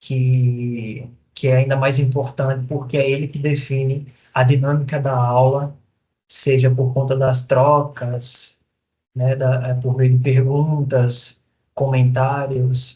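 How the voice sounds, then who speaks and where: A man with a Sergipe accent speaks very slowly in a flat monotone at a medium pitch, with a somewhat breathy, dark, mellow tone. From Brazil, Sergipe (Lagarto). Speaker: professor. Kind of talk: recorded lecture. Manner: halting, many fillers.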